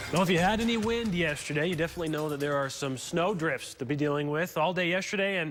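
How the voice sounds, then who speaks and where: With music in the background, a man with an American accent talks very fast at a fairly high pitch with ordinary pitch variation. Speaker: television meteorologist. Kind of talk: TV weather forecast broadcast. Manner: energetic, clear, conversational.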